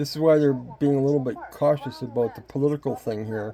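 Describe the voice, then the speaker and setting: A man at medium pitch, moderate pace and ordinary pitch variation, with noticeable background noise. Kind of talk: casual commentary on a playing video.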